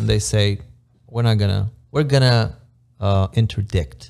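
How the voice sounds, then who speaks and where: In an Eastern European accent, a man talks at a fairly low pitch with lively intonation. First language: Romanian. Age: 30s. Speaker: immigrant construction project manager. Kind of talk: casual podcast interview.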